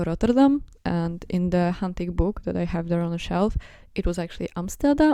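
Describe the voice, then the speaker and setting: Fairly low in pitch, a woman's voice has a dark, mellow tone and ordinary pitch variation. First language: not English (neither English nor Russian). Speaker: video essayist / fan commentator. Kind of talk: casual monologue. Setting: at home on bed. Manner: rambling, halting with fillers.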